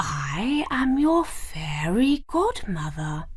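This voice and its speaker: Over light background noise, a woman uses a put-on character voice with a gentle tone, a high pitch, very wide pitch swings and a very slow pace. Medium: read story. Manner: gentle, kind.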